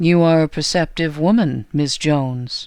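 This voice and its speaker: A woman uses a put-on character voice, pitched very deep and low, with ordinary pitch variation. She talks at a moderate pace on a very clean recording with a silent background. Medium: read story. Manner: calm, terse, quietly menacing.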